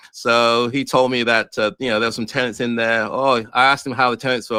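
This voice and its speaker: In a dry, close recording with no echo, a man talks at a medium pitch with an English accent. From England, born in Ghana. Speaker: real estate investor. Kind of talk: interview. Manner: hesitant, many fillers.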